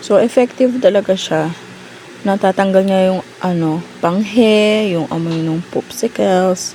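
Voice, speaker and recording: A woman speaks fairly slowly at a medium pitch with ordinary pitch variation. Noticeable background noise is present. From Philippines. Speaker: mom vlogger. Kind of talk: unboxing vlog. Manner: talkative. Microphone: sound dropped out, mic issue.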